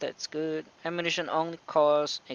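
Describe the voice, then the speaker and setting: At a moderate pace, a man speaks with a non-native accent and a fairly high pitch. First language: not English. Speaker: gaming youtuber. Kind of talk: gameplay commentary. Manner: hesitant, many fillers.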